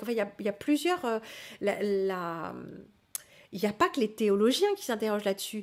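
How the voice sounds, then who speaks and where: The recording is very clean with a silent background. A woman with a fairly high pitch talks at a fairly quick pace with lively intonation. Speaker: livestream host teaching spirituality. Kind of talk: live stream reading and answering chat. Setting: live stream. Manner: hesitant, many fillers.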